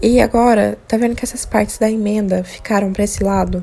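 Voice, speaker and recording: Soft-spoken, a woman with a fairly high pitch talks at a moderate pace. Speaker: crochet tutorial maker. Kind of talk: tutorial.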